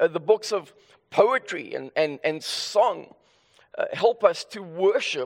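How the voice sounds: What we hear is a natural reading voice.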